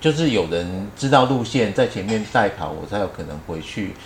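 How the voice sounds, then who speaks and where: A man talks at a moderate pace in a fairly low pitch with lively intonation. Audible room echo surrounds his voice. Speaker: retired teacher and running group leader. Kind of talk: casual interview chat.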